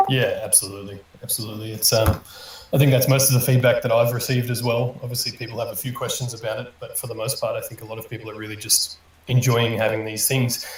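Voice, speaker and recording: Amid noticeable background noise, a man at medium pitch speaks at a very fast pace in a monotone, flat intonation with big swings in loudness. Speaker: community manager hosting AMA. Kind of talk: live audio AMA panel. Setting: online audio room stage.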